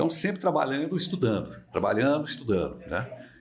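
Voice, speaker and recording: With vocal fry and very wide pitch swings, a man talks at a very fast pace in a room with audible echo. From Minas Gerais, Brazil (Barbacena). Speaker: veteran radio broadcaster. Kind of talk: interview conversation.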